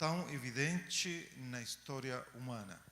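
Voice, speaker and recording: A man talks in a Chilean accent with a fairly high pitch and a bright, sharp tone. Room echo is audible. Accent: Chilean accent in Portuguese, noticeable. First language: Spanish (speaking Portuguese). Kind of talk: lecture. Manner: hesitant fillers.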